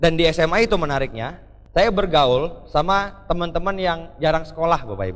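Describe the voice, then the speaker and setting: A man's fairly high-pitched voice at a fairly quick pace, with lively intonation, big swings in loudness and audible room echo. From Jakarta, Indonesia. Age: 20s. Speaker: motivational speaker. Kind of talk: motivational speech. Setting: stage with audience. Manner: energetic.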